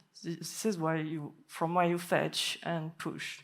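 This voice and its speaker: With a French accent, a woman talks at a fairly slow pace. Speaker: software developer. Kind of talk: conference talk.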